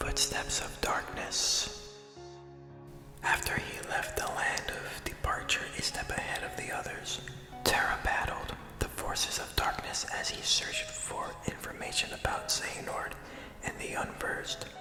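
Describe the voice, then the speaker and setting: Whispered words come at a fairly slow pace amid noticeable background noise. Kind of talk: whispered ASMR reading of a video game story.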